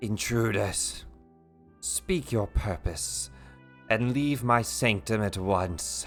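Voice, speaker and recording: A man's raspy, fairly low put-on character voice, very slow with long, frequent pauses, over clear music in the background. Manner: demonic and commanding.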